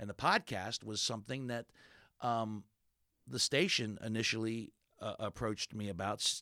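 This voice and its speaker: Recorded very cleanly against a silent background, a man with a fairly low pitch and a bright, sharp tone speaks with ordinary pitch variation in a dry, close sound with no echo. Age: 50s. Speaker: radio host and comedian. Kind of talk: interview conversation.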